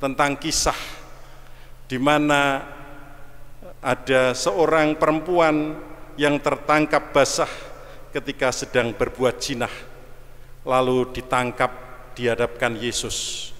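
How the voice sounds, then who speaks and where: Very slowly, a man speaks with fairly even intonation and long, frequent pauses. Background noise is noticeable. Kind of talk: sermon. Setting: church.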